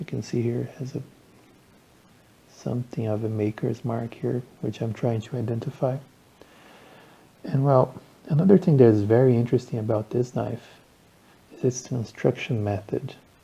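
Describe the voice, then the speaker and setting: The voice has a dark, mellow tone and is somewhat breathy. Long pauses come often. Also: man, medium pitch for a man, ordinary pitch variation, moderate pace. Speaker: knife enthusiast. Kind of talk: casual talk to camera.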